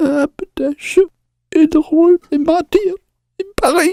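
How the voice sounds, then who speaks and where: Extremely high in pitch, this is a put-on character voice. It moves at a fairly slow pace. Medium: audio drama.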